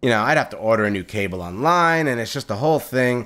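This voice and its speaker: Loud and animated, a man talks fairly quickly at a medium pitch with very wide pitch swings, in a very clean recording with a silent background. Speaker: gaming video creator. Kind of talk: let's play commentary. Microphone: new condenser mic.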